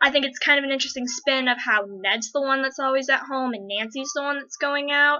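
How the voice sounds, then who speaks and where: A woman with an American accent speaks in a raised, projected, high voice at a fairly quick pace, with hardly any pauses. Her intonation stays fairly even, and there is noticeable background noise. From United States. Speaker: fan vlogger. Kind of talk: casual Q&A vlog. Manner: fast; rambling.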